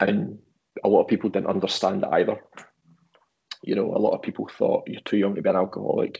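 With a Glaswegian accent, a man talks at a very fast pace. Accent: Glaswegian Scottish. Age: 30s. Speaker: photographer and guitarist. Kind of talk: casual chat.

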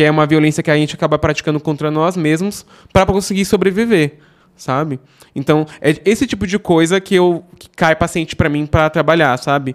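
Fairly high in pitch, a man with an unremarkable speaking voice talks at a fairly quick pace, with ordinary pitch variation and big swings in loudness. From Brazil, São Paulo metro area (Osasco). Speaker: software developer. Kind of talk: casual chat. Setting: studio.

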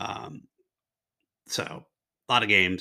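The man speaks with a bright, sharp tone. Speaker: podcast host. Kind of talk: casual solo podcast monologue. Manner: rambling, informal, enthusiastic.

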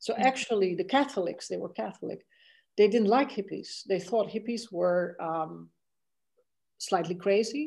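With a Dutch accent and some vocal fry, a woman speaks at medium pitch and a moderate pace with ordinary pitch variation, on a very clean recording with a silent background. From Netherlands (The Hague). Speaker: law and technology professor. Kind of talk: interview.

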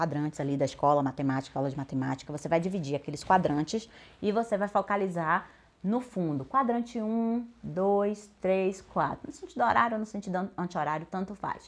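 A woman with an ordinary speaking voice, medium in pitch, at a moderate pace and with lively intonation. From Bahia, Brazil. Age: 40s. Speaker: speaking coach and actress. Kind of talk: podcast monologue tutorial.

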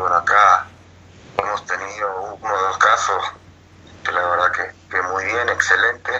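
A man talks at a fairly slow pace with long, frequent pauses over noticeable background noise. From Uruguay. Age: 40s. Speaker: retired footballer. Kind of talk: interview. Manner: hesitant, repetitive.

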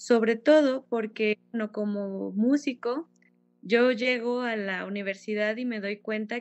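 She has a plain, everyday voice, fairly high for a woman. Her pitch varies in an ordinary way. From Mexico, Fresnillo, Zacatecas. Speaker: violinist and music teacher. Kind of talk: interview.

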